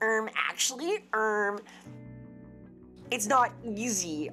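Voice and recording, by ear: Over clear music in the background, a female-sounding, nasal put-on character voice speaks at a fairly high pitch and a very slow pace.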